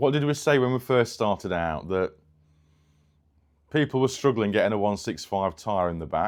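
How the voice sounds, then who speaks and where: Speaking in a northern English accent, a man with a medium pitch and lively intonation keeps a moderate pace, with long, frequent pauses. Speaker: car restoration vlogger. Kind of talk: casual workshop vlog.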